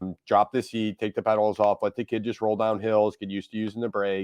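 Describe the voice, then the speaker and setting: A man talks at a fairly quick pace against a quiet background, the sound dry and close with no echo. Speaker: bike shop owner hosting live stream. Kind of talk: casual live-stream chat and product talk. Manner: hesitant, many fillers.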